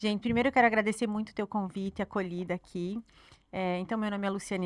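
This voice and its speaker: Bright and sharp in tone, a woman's voice races at a very fast pace with monotone, flat intonation, dry and close with no echo. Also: very clean recording, silent background. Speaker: marketing strategist. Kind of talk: podcast interview.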